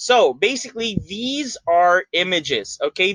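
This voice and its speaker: Loud and bright with a sharp tone, a man speaks with lively intonation in a dry, close recording with no echo and a quiet background. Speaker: YouTuber. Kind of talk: tutorial. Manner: hesitant, many fillers.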